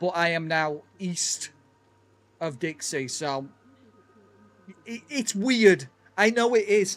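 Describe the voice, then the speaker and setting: A man's high-pitched voice with lively intonation, very slow pace and long, frequent pauses. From northwest England, Chester. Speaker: gaming streamer. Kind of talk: casual livestream chat while gaming. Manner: clear, enunciated.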